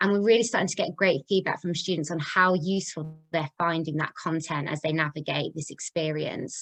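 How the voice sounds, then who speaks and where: A woman with a Coventry accent, fairly low in pitch, at a fairly quick pace with hardly any pauses and fairly even intonation. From English Midlands, Coventry. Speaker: charity chief executive, webinar host. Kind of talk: webinar presentation. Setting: video call.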